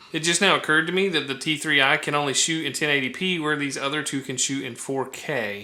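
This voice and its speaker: Through noticeable background noise, a man races at a very fast pace with a fairly high pitch and ordinary pitch variation. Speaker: camera gear youtuber. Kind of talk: casual vlog review. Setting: indoor vlogging setup with softbox light.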